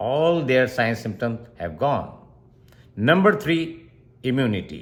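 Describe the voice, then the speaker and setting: Speaking at a fairly slow pace with a Pakistani accent, a man lets his pitch swing very widely. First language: Urdu. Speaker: doctor. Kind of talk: health explainer tutorial.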